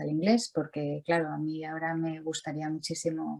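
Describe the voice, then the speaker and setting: A woman keeps a moderate pace as music plays behind her. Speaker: visual artist. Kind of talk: interview. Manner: halting, many repetitions.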